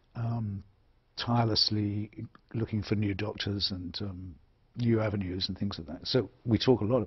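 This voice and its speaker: Soft-spoken and somewhat breathy, a man with a fairly low pitch keeps a moderate pace and fairly even intonation, though his loudness swings widely. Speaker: author and public intellectual. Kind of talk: interview answer. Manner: soft-spoken, honest, direct.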